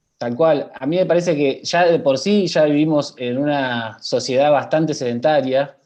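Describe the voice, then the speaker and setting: An unremarkable speaking voice moves at a moderate pace. There are hardly any pauses. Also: man, fairly high pitch for a man, ordinary pitch variation. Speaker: health professional. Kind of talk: panel talk.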